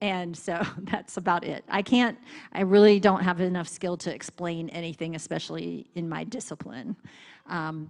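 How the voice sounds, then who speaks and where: Speaking slowly in an ordinary speaking voice, a woman with an American accent keeps to a medium pitch at a fairly slow pace. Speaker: missionary seminary teacher. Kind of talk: church missions presentation with Q&A.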